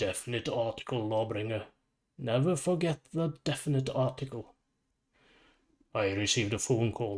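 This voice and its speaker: In a put-on character voice, a man speaks at a moderate pace with a gravelly, rumbling sound, medium pitch and very even loudness, on a very clean recording with a silent background. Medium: read story. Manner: calm, measured.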